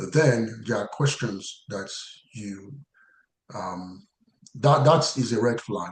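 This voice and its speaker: Over audible room echo, a somewhat breathy man at medium pitch talks at a very slow pace with long, frequent pauses, big swings in loudness and ordinary pitch variation. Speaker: compliance career trainer. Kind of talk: webinar lecture. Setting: online webinar. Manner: halting, many fillers and restarts.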